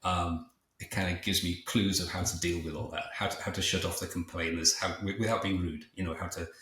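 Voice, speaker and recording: In a very deep, low voice, a man talks at a fairly quick pace with monotone, flat intonation. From England, Liverpool. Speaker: entrepreneur and author. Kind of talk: podcast interview. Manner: fast; halting, many repetitions.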